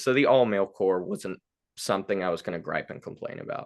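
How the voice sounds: A man speaks with a fairly low pitch. His tone is clear, smooth and fairly bright.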